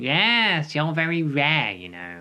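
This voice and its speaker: A put-on character voice at a low-to-middle pitch, with very wide pitch swings and a quiet background. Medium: read story.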